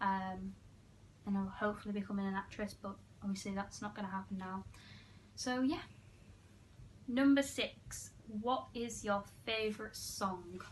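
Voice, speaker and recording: With an English accent, a woman speaks at a moderate pace and medium pitch, somewhat breathy, with ordinary pitch variation and long, frequent pauses. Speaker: YouTuber. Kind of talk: casual chat.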